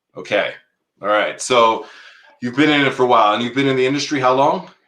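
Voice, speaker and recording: The speech comes at a very fast pace with a bright, sharp tone. Room echo is audible. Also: man, medium pitch for a man. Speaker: podcast host, restaurant industry veteran. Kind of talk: live podcast interview.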